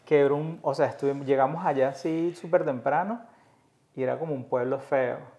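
This man's voice is fairly high in pitch yet dark and mellow in tone, with ordinary pitch variation and a fairly quick pace. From Venezuela, Caracas. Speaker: podcast host. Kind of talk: casual chat.

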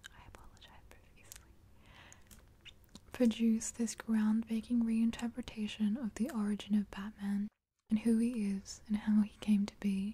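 Soft-spoken whispering at a moderate pace, somewhat breathy, with big swings in loudness. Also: woman. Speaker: ASMR creator. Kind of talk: ASMR soft-spoken show and tell. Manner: soft-spoken, whispered. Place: home room.

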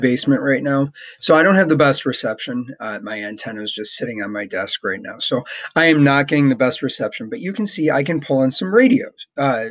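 The background is silent while a man speaks fairly quickly. His pitch swings very widely. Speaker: teacher, ham radio hobbyist. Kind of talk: tutorial. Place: home room. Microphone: webcam.

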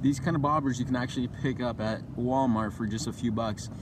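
Speech comes at a moderate pace with fairly even intonation. Noticeable background noise is present, and the sound is dry with no echo. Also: man. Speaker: fishing channel host. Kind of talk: tutorial. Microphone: phone near.

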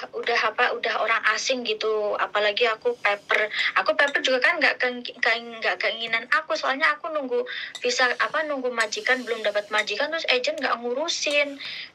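There is music in the background as a woman speaks at a fairly quick pace. Her voice is high-pitched with ordinary pitch variation. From Indonesia. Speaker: caller, former domestic helper. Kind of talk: casual advice call. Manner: halting.

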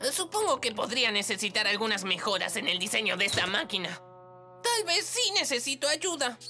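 A woman's put-on character voice, fairly high and bright, sharp in tone, with big pitch swings and faint music in the background. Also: fairly quick pace.

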